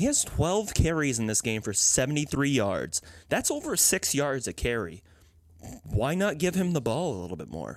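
Vocal fry runs through this man's fairly high voice. He moves at a moderate pace with very wide pitch swings. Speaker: sports podcast co-host, football fan. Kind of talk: casual chat. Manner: animated, laughs often.

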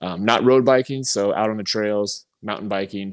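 A man speaks in a normal speaking voice, fairly low in pitch, at a moderate pace. Pitch variation is ordinary, and the recording is very clean with a silent background. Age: 40s. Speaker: podcast host and stand-up comedian. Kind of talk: casual chat.

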